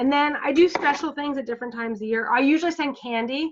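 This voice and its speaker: The woman's pitch rises and falls in an ordinary way. She has a normal speaking voice and talks fairly quickly. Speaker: direct sales team leader. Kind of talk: team training over video call. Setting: video call.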